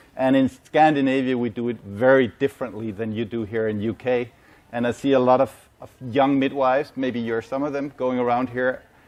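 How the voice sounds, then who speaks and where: In a Danish accent, a man speaks at a fairly quick pace with fairly even intonation and a medium pitch. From Denmark. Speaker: medical sales manager and ICU nurse. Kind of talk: conference presentation. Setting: symposium with live audience.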